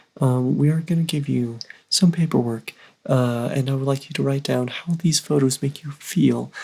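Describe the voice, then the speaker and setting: A man's mumbling, somewhat breathy voice, fairly high in pitch with a dark, mellow tone, at a moderate pace with fairly even intonation. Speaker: YouTube reaction channel co-host. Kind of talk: casual reaction chat. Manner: mumbling, hesitant.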